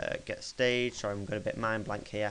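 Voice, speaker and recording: Against noticeable background noise, a man speaks at a medium pitch in a flat, monotone way. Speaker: gaming tutorial youtuber. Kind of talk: tutorial.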